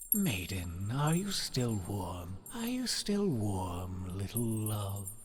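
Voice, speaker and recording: A put-on character voice speaks at a very slow pace. Clear background noise runs throughout. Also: man, fairly low pitch for a man. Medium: read story. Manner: snapping, insistent questioning.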